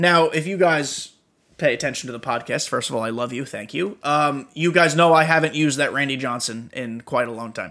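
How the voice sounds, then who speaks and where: A man's fairly high voice runs at a fairly quick pace, its pitch varying in an ordinary way. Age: 20s. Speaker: gaming podcaster and streamer. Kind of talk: solo podcast monologue. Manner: casual and animated.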